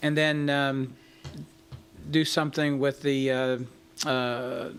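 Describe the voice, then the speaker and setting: With audible room echo, a man at a fairly high pitch speaks at a very slow pace in a monotone, flat intonation. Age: 60s. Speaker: city manager. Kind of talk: council meeting discussion. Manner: halting.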